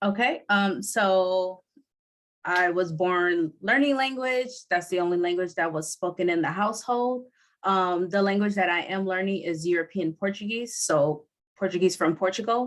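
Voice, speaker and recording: A woman talks at a moderate pace in a normal speaking voice, medium in pitch with ordinary pitch variation. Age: 30s. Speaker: podcaster and language learner. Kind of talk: interview. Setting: video call.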